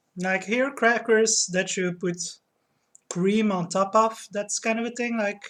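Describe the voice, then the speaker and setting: The speech is delivered at a very slow pace. The intonation stays fairly even. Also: woman, fairly high pitch for a woman. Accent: Dutch. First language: Dutch. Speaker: streamer. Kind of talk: casual chat. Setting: live stream at home.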